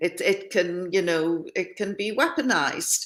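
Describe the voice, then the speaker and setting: A woman with a northeast English accent speaks at a fairly slow pace in a medium pitch, with ordinary pitch variation. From northeast England, near Scottish borders. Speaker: former journalist and hostage. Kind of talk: interview testimony.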